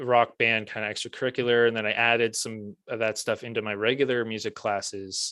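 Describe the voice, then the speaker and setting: A man at a fairly quick pace with hardly any pauses, monotone and flat in intonation, on a very clean recording with a silent background. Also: medium pitch for a man. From Prince Edward Island, Canada. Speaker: music teacher and author. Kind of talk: casual interview chat.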